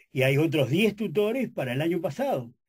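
A man speaks at a moderate pace with very wide pitch swings. His voice is somewhat breathy. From Uruguay. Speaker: journalist and professor; journalist, professor. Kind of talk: radio interview. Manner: halting, many fillers. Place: studio. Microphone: studio mic.

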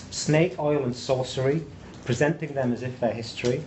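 Light background noise sits under a male voice moving at a moderate pace. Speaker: presenter. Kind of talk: lecture. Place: classroom.

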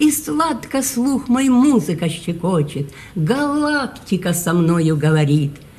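Very slowly, a woman speaks with very wide swings in pitch. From Ukraine. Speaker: poet. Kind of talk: poetry reading. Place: hall. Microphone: phone near.

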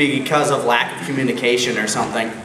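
In an American accent, a man talks at a fairly high pitch with light background noise and audible room echo. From Minnesota, US. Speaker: web voice actor and convention panelist; web voice actor, panelist. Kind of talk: convention panel talk. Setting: stage with audience. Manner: loud. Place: hall. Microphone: camera far.

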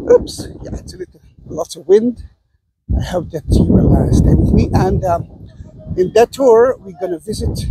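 Loud background noise behind a man's dry, echo-free voice. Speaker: tour guide. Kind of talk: casual tour commentary. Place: open country. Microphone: phone near.

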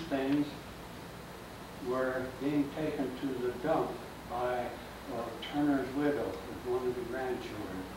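With an American accent and fairly even intonation, a man talks at a fairly slow pace amid noticeable background noise and audible room echo. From Kansas. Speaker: local historian. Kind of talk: public history lecture. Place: hall. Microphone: camera far.

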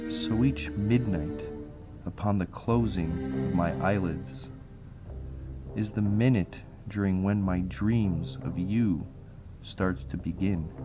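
Over music in the background, a man with a very deep, low pitch talks at a very slow pace with lively intonation and long, frequent pauses. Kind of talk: spoken word poetry.

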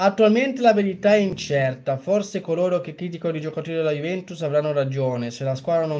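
A man with a fairly high pitch and a dark, mellow tone speaks with lively intonation. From Genoa, Italy; Italy. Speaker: football fan streamer. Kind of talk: live reaction commentary. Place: home room.

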